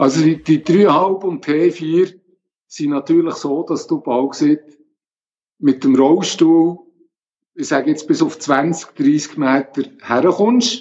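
Delivered at a very slow pace, the speech has ordinary pitch variation and long, frequent pauses. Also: man, fairly high pitch for a man. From Switzerland, Bern region. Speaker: geocacher with multiple sclerosis, wheelchair user. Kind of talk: interview.

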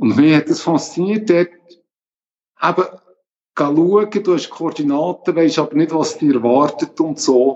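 Speaking at a fairly slow pace with long, frequent pauses, a man uses a fairly high pitch and ordinary pitch variation. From Switzerland, Bern region. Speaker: geocacher with multiple sclerosis, wheelchair user. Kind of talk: interview.

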